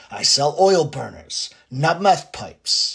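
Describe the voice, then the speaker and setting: The speaker uses a cartoonish character voice at a middle pitch. The delivery moves at a fairly slow pace. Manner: deadpan, dismissive.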